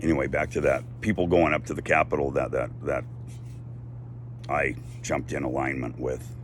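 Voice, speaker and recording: A man with an American accent talks at a moderate pace and ordinary pitch variation, with audible room echo and noticeable background noise. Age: 60s. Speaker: activist vlogger. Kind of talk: casual monologue. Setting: outdoors on a deck.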